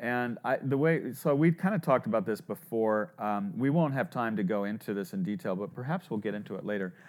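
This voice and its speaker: An unremarkable speaking voice, this man's is medium-pitched and lively in intonation, moving at a fairly quick pace with hardly any pauses on a very clean recording with a silent background. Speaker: podcast host, startup advisor. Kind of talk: interview.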